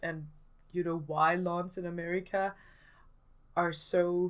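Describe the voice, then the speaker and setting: A woman with a Danish accent speaks at a very slow pace and medium pitch on a very clean recording with a silent background. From Denmark. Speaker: gaming YouTuber. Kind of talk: casual voiceover commentary. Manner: hesitant, many fillers.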